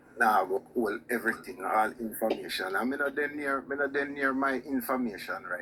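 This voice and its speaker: With a Jamaican accent, a man speaks at medium pitch and a fairly quick pace, with hardly any pauses and big swings in loudness. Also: ordinary pitch variation. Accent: Jamaican Patois-inflected. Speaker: caller on live show. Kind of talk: heated debate. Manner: repetitive, insistent.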